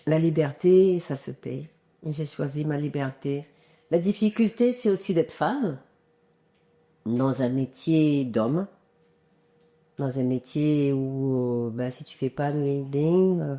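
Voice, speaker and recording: With long, frequent pauses and big swings in loudness, a woman talks at a very slow pace in a very deep, low pitch, her dark, mellow tone carrying lively intonation. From Comoros, raised in France (Drôme). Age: 60s. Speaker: singer-songwriter. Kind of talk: interview. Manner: hesitant, many fillers.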